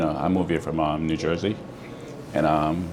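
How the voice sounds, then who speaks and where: With noticeable background noise and audible room echo, a man with a very deep, low pitch speaks in fairly even intonation. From Jamaica, Saint Thomas parish. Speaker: restaurant owner. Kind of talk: interview. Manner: hesitant, many fillers.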